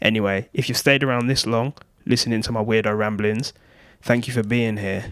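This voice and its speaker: A robotic voice speaks at a fairly quick pace in monotone, flat intonation on a very clean recording with a silent background. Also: man, medium pitch for a man. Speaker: YouTuber. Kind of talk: scripted talk to camera. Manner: flat, somewhat robotic delivery.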